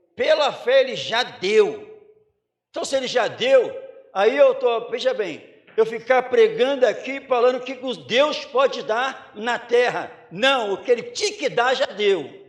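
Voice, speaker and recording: Pitch moves in an ordinary way while the delivery comes fairly slowly. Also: man, extremely high pitch for a man. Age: 50s. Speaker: pastor. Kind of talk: sermon. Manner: animated.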